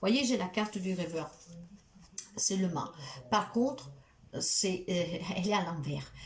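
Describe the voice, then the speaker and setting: A woman's medium-pitched voice, very slow and lively in intonation, with long, frequent pauses and audible room echo. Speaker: tarot card reader and spiritual healer. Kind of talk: tarot reading guidance monologue.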